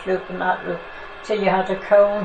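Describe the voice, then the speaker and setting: A woman speaks with monotone, flat intonation. There is audible room echo and noticeable background noise. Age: 80s+. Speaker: oral history interviewee. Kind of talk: oral history interview.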